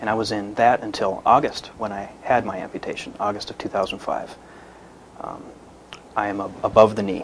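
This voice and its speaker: A man talks at a fairly quick pace in a fairly low, monotone voice with flat intonation. His long pauses come often, and noticeable background noise runs underneath. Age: 20s. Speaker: cancer survivor, amputee. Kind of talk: testimony.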